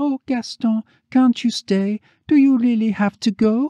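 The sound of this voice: This put-on character voice sits fairly high in pitch and moves at a moderate pace.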